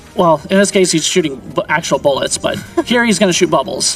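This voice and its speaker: With music in the background, a man speaks at a moderate pace in a high pitch. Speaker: speedrunner. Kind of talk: live commentary while playing.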